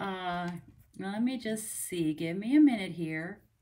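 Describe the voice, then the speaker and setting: This is a woman's voice. Her pitch variation is ordinary. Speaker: craft demonstrator. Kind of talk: casual livestream chat. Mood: cheerful, friendly. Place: home room. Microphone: phone near.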